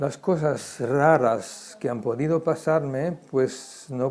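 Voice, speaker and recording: Dark and mellow in tone, a man's voice sits at a medium pitch with ordinary pitch variation. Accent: German. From Germany, Frankfurt. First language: German (speaking Spanish). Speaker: Holocaust survivor. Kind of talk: testimony interview. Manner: halting, many repetitions.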